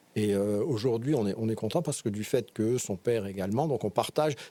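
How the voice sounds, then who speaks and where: With a dark, mellow tone, a man talks at medium pitch and a fairly quick pace, his pitch varying in an ordinary way. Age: 60s. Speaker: interview guest, father of four. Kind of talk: podcast interview. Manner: halting, many hesitations and repetitions.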